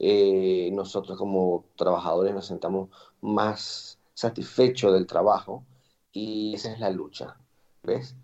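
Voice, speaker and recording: A man speaks at a very slow pace in a fairly low pitch with a dark, mellow tone. His intonation stays fairly even while his loudness swings widely. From Venezuela, Andean region (Boconó, Trujillo). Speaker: chef and restaurant owner. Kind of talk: interview.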